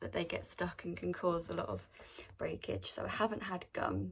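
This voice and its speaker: A woman with an English accent, speaking at a moderate pace. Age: adult. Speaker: vlogger. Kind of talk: casual Q&A vlog. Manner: casual, chatty.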